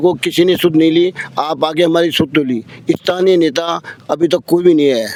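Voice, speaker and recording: A man with a fairly high voice speaks at a moderate pace, with fairly even intonation over noticeable background noise. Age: 80s+. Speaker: protester. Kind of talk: street interview.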